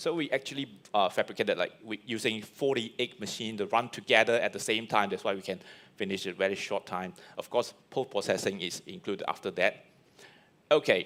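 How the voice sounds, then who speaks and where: The man's pitch sits at a medium level with ordinary variation. He talks at a fairly quick pace. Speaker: 3D printing speaker. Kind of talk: presentation talk; Q&A answer. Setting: live stream event. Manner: fast; halting.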